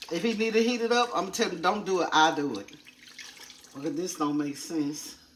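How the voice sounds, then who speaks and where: With audible room echo and noticeable background noise, a woman talks at a fairly quick pace in a fairly low pitch, her intonation lively and her tone animated. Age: 60s. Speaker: lifestyle vlogger. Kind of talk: casual vlog talk while cleaning. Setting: home kitchen.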